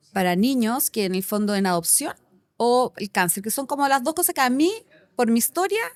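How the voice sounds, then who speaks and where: On a very clean recording with a silent background, a woman speaks in an animated tone with very wide pitch swings. The sound is dry and close with no echo. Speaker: company director. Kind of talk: casual interview chat. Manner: fast.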